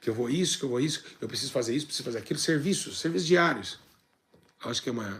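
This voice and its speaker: With lively intonation and a medium pitch, a man speaks at a very fast pace. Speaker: church teacher. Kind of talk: bible teaching.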